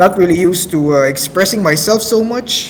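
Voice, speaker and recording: A man with a non-native accent talks at a moderate pace with lively intonation over noticeable background noise. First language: not English. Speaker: amateur radio host. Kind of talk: casual radio show hosting. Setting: online voice chat server. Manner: halting, many fillers.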